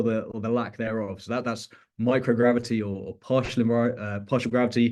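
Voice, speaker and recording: In a British accent, a man speaks at a medium pitch and a fairly quick pace, with fairly even intonation and a quiet background. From UK. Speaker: researcher. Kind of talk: research talk. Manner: halting, many fillers and repetitions.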